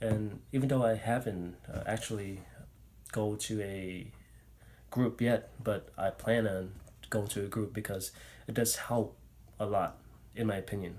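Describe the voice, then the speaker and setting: A man speaks at a fairly slow pace with long, frequent pauses. His voice is somewhat breathy and fairly low in pitch. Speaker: speech pathology student. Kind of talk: personal vlog talk. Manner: halting, many fillers.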